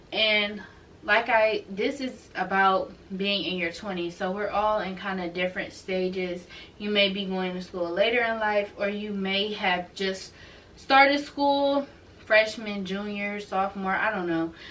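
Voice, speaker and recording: Fairly slow speech from a medium-pitched woman, with long, frequent pauses, big swings in loudness, ordinary pitch variation and noticeable background noise. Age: 20s. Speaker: YouTuber and nursing student. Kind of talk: casual vlog talk. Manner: conversational, with frequent fillers.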